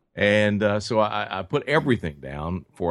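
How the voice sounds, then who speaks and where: Someone speaks with a Tennessee accent against a quiet background. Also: man. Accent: Southern US (Tennessee). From West Tennessee, US South. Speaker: pipe maker. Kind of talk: interview. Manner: halting, many fillers and repeats.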